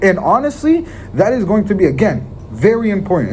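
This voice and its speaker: Over noticeable background noise, a man with a slight Israeli accent speaks in an animated tone, his pitch swinging very widely. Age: young. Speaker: sales motivational speaker. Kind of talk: motivational talk. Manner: occasional stutter.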